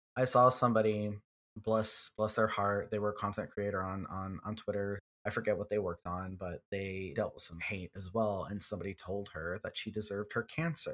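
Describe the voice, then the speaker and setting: An unremarkable speaking voice with an American accent, a fairly quick pace and fairly even intonation, on a very clean recording against a silent background. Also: man, fairly low pitch for a man. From Texas, Houston. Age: 30s. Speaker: fan artist. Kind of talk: casual chat.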